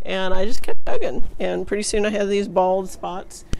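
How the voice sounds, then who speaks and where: A woman speaks with monotone, flat intonation. Light background noise is present. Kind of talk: casual vlog chat. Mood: reflective, lightly amused. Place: garden. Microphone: phone near.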